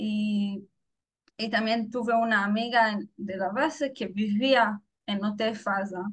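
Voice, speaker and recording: This woman speaks very slowly in a fairly high pitch. Her voice is somewhat breathy. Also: fairly even intonation. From Israel. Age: 20s. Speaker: former soldier. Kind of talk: interview testimony. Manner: halting.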